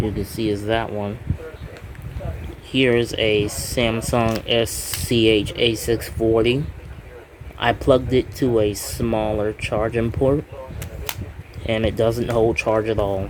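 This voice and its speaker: Amid noticeable background noise, a man of medium pitch speaks at a very slow pace, with fairly even intonation and long, frequent pauses. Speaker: YouTuber, phone collector. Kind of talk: show-and-tell video. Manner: halting.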